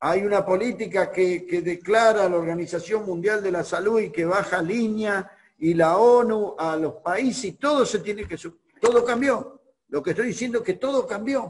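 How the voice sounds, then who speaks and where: A man's voice, high in pitch, with ordinary variation in pitch. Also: moderate pace. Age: 60s. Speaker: pastor. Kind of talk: sermon.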